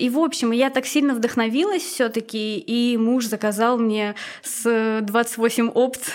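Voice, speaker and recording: A woman speaks at a very slow pace with fairly high pitch. Her loudness stays very even. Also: ordinary pitch variation. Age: 20s. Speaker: former tattoo artist. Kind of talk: casual chat.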